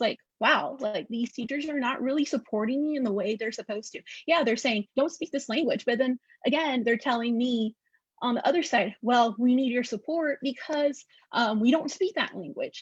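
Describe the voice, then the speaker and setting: High-pitched woman's voice with ordinary pitch variation, in a dry, close sound with no echo. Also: moderate pace, quiet background. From Northeast Texas. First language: Spanish. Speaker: educator, academic researcher. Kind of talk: panel discussion.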